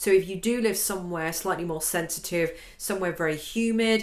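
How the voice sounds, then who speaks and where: A woman speaks with a British accent and ordinary pitch variation, with audible room echo and noticeable background noise. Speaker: violin and piano teacher. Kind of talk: tutorial. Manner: casual, conversational with fillers.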